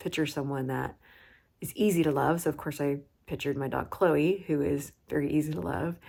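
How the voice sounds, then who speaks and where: A woman with a very deep, low pitch speaks at a moderate pace in a calm, animated tone on a very clean recording with a silent background. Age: 40s. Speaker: vlogger. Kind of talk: personal vlog. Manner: low and calm; usually animated and loud.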